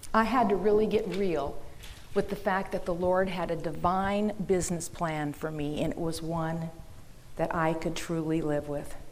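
In an American accent, a woman with a fairly low pitch talks at a moderate pace with ordinary pitch variation, and the room echo is audible. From Minnesota, US Midwest. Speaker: business owner and seminar speaker. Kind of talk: seminar talk. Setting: conference room with audience.

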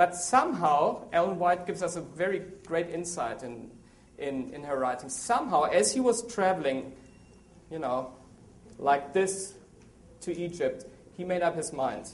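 A man with a German accent and a high pitch, moderate pace, lively intonation, long and frequent pauses, and audible room echo. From Germany. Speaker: associate editor and biblical scholar. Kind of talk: seminar talk with audience.

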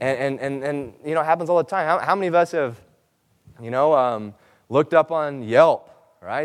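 A man, using an ordinary speaking voice, delivers his words fairly quickly, his pitch varying in an ordinary way. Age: 20s. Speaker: seminar presenter. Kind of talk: seminar talk.

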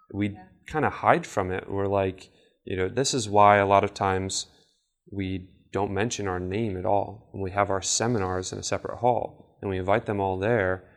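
On a very clean recording with a silent background, a man with a fairly low pitch uses a plain, everyday voice at a moderate pace with fairly even intonation. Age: 20s. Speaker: marketing seminar presenter. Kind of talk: lecture.

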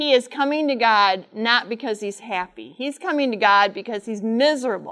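A woman with a fairly high pitch speaks in an animated tone. Her pace is moderate and her pitch variation ordinary. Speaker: Bible teacher. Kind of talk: sermon. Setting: stage with audience.

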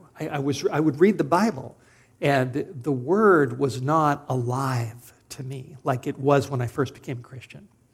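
Somewhat breathy, a man with a Californian accent speaks at a fairly slow pace and a fairly high pitch, with ordinary pitch variation. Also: big swings in loudness. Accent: General American (Californian). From Southern California. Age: 50s. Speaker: preacher. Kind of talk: sermon.

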